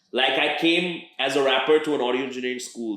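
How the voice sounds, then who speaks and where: Fairly quick and fairly even in intonation, a man speaks with an American accent. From international schools abroad (Indian family, third culture kid). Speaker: rapper. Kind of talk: interview. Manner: halting, many fillers and repeated words.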